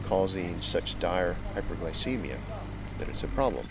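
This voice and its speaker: A man speaks over noticeable background noise. The sound is dry, with no echo. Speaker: interviewee. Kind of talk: interview answer. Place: garden.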